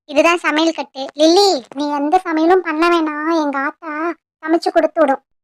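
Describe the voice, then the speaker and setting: Putting on a cartoonish character voice, a woman speaks fairly slowly at an extremely high pitch. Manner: blunt, folksy, teasing.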